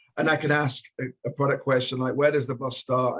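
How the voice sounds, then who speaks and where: Speaking at a fairly quick pace, a man with a Geordie accent has a somewhat breathy voice. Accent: Geordie, rough. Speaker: travel tech executive, co-host. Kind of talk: panel discussion.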